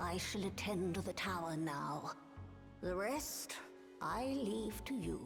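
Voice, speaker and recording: Over loud music in the background, a female-sounding put-on character voice speaks at a fairly low pitch for a woman and a fairly slow pace, with long, frequent pauses. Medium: video game. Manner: archaic, formal phrasing.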